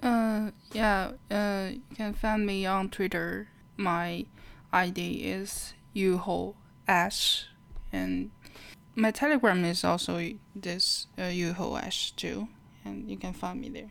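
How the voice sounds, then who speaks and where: A woman with a Chinese accent, very slow, with long, frequent pauses and big swings in loudness. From China. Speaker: plushie and doll maker. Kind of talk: interview.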